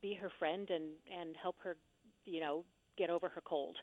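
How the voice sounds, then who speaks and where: A woman speaks at a fairly slow pace. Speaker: actress and theater reviewer. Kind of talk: casual interview chat.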